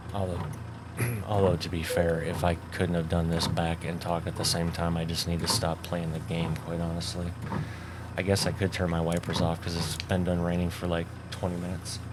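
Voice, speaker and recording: A man's very deep, low voice in monotone, flat intonation, with audible room echo. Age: 40s. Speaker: gaming YouTuber. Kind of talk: gameplay commentary. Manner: casual, rambling with fillers. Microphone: new foam cover on mic, no de-esser.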